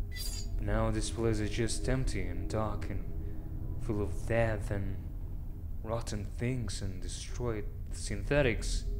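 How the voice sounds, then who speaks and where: This man talks at a very slow speed. Background noise is noticeable throughout. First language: not English. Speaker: let's player. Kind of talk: casual gameplay commentary. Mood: calm, slightly somber. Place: home room.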